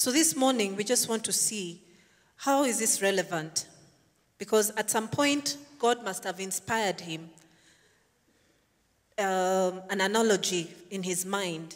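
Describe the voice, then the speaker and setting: A woman at a fairly slow pace, ordinary pitch variation, and a quiet background. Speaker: preacher. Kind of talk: sermon. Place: church. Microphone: handheld.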